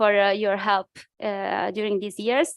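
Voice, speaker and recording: With an Italian accent, a woman speaks at a moderate pace and medium pitch, the sound dry and close with no echo over a quiet background. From Italy. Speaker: think tank researcher. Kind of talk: conference presentation. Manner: halting, many fillers.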